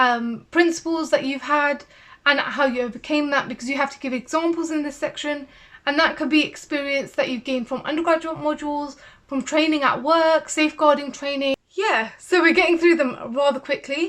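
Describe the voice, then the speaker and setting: A woman's high voice at a fairly quick pace, with fairly even intonation. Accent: British. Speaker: CBT therapist and video creator. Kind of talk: tutorial. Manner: fast.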